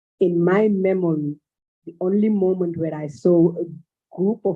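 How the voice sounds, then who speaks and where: Someone speaks at a fairly slow pace with a Malian accent. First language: Bambara. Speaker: cultural exchange organizer. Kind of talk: panel discussion.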